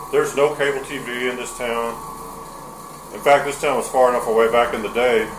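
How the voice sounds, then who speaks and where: A man with a slight Texas accent speaks in a monotone, flat way with long, frequent pauses, with audible room echo and noticeable background noise. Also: medium pitch for a man. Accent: slight Texas drawl picked up. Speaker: carpet cleaner. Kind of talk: casual chat during tutorial demo. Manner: slurs words together.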